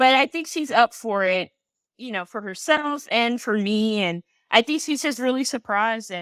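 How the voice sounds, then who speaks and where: A woman with an American accent speaks at a moderate pace in a fairly high pitch, a plain, everyday voice captured in a very clean recording with a silent background and a dry, close sound with no echo. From US South, South Carolina. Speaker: activist, community organizer. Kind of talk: interview conversation.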